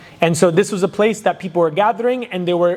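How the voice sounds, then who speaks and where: Over noticeable background noise, a man talks loudly with lively intonation. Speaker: Islamic lecturer. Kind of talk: lecture. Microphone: too quiet at first, then adjusted.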